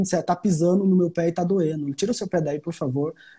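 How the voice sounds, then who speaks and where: Speaking at a very fast pace, a man has a high pitch, a dark, mellow tone and ordinary pitch variation. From Brazilian Northeast. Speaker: psychologist. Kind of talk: casual live chat interview. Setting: Instagram live.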